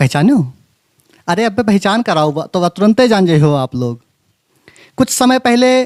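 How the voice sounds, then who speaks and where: Dry and close with no echo, a man's high voice swings very widely in pitch, broken by long, frequent pauses. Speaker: YouTube host of Awadhi culture channel. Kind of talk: channel intro to camera.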